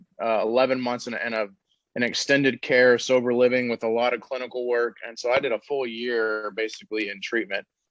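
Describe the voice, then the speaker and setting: Using an ordinary speaking voice, a man talks at a fairly quick pace with medium pitch. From Texas, Dallas. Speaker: treatment center owner, recovering addict. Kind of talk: podcast interview.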